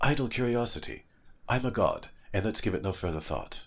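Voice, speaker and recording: In a put-on character voice at medium pitch, a man talks at a fairly quick pace on a very clean recording with a silent background. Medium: read story. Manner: mild, polite.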